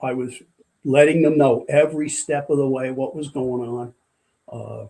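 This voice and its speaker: With a New York accent, a man speaks at a moderate pace in a fairly high pitch and a dark, mellow tone. His intonation stays fairly even while his loudness swings widely. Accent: New York area American. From US Northeast, Port Jervis, New York. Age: 70s. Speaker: retired firefighter and corrections officer. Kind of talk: casual interview chat. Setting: studio.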